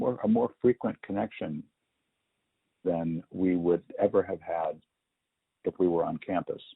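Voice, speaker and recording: Fairly slow speech from a man, broken by long, frequent pauses. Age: 60s. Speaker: artist and photography professor. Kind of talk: oral history interview. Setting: at home. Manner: halting, many fillers.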